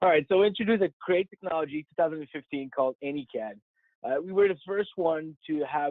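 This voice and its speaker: This is a man speaking. He has a French Canadian accent. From Quebec, Montreal. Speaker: software technical specialist. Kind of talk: technical presentation. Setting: webinar call.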